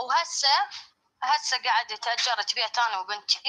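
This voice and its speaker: A woman speaks in an Iraqi accent at a moderate pace. Her pitch is high, with ordinary variation. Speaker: caller sharing a personal story. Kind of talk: testimony. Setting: live stream.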